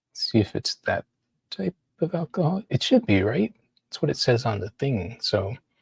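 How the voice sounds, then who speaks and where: A man's somewhat breathy voice swings very widely in pitch. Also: medium pitch for a man, moderate pace. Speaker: artist. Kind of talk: casual monologue. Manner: halting.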